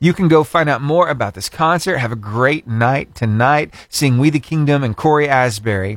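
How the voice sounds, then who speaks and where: A man talks in a normal speaking voice at a fairly high pitch. His pace is moderate, with ordinary pitch variation. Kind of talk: radio DJ patter. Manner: upbeat, warm, chatty.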